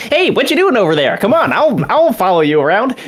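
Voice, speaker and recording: A man puts on a squeaky character voice at an extremely high pitch. He talks at a fairly quick pace with very even loudness. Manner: casual, friendly.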